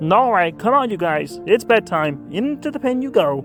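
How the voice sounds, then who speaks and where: A put-on character voice at a middle pitch, with clear music in the background. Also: moderate pace. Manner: warm, gentle.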